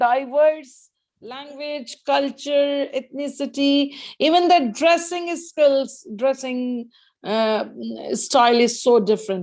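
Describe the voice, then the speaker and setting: A woman with an Indian accent, high pitch and ordinary pitch variation. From northern India, Hindi-speaking region. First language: Hindi. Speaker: guest speaker, educator. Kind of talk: casual Q&A in an online English club. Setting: video call. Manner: hesitant, with many fillers.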